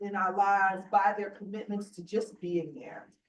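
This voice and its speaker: A woman is speaking. Her pace is moderate. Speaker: borough council member. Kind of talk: award presentation speech. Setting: council meeting room. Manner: loud.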